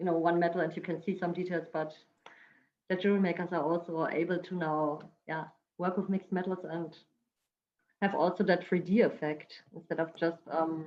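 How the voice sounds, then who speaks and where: A woman with a fairly low pitch speaks at a fairly quick pace in a monotone, flat way. She takes long, frequent pauses. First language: not English. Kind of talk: product presentation on video call panel. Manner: halting, many fillers.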